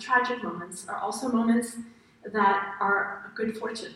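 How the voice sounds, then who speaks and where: Against noticeable background noise, a woman with a fairly high pitch speaks at a moderate pace with ordinary pitch variation. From France. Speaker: happiness researcher. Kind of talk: interactive lecture. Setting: stage with audience.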